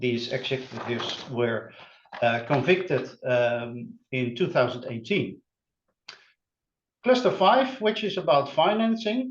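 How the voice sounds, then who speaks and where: Very slowly, a man speaks in a fairly high, somewhat breathy voice, with very wide pitch swings and long, frequent pauses. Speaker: criminology researcher presenting. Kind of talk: academic webinar presentation. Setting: online webinar. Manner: halting, many filler sounds.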